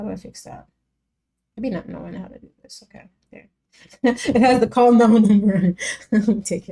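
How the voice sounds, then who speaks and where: A woman with a fairly high pitch and a dark, mellow tone speaks at a moderate pace, relaxed and with vocal fry. Her intonation stays fairly even, her loudness swings widely, and she takes long, frequent pauses. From Jamaica. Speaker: music reaction streamer. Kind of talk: casual live stream chat. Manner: casual, relaxed.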